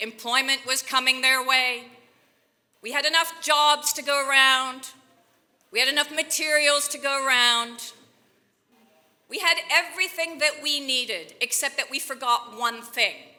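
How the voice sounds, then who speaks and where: A raised, projected voice speaks with an American accent. The pace is moderate. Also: woman. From Belgium. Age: 50s. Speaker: president of a think tank, keynote speaker. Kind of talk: keynote speech. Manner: animated.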